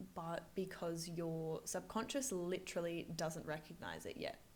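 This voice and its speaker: A woman speaks quietly at a medium pitch. Her pace is fairly slow. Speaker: finance coach and video creator. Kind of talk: vlog-style talk to camera. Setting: busy office. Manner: quiet, voice kept down.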